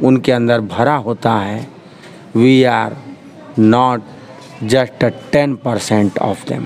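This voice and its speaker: A man talks at a very slow pace. Light background noise sits behind him. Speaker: interviewee. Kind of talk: interview answer. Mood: earnest, respectful speech on women. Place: street. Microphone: handheld.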